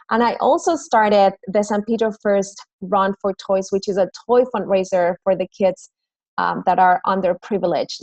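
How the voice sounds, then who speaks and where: A woman with a Mexican accent talks at a moderate pace. Her medium-pitched voice sounds dry and close, with no echo. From Mexico City. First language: Spanish. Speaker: fitness trainer and business owner. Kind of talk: recorded presentation.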